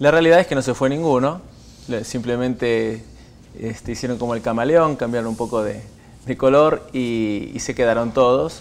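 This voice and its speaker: His pitch shifts in an ordinary way. The man talks at a moderate pace. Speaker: guest. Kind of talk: interview answer. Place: studio. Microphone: lapel.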